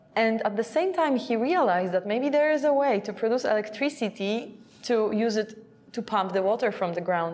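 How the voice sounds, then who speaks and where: Speaking at a moderate pace, a woman with a medium pitch talks in a Polish accent. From Poland. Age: 30s. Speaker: energy activist and journalist. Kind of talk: interview.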